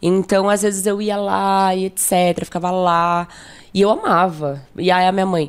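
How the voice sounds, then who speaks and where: An unremarkable speaking voice, a woman's, comes at a medium pitch and a fairly slow pace with fairly even intonation, on a very clean recording with a silent background. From São Paulo, Brazil (south zone, Jardim São Luís). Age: 20s. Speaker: photographer. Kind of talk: casual interview chat. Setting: studio.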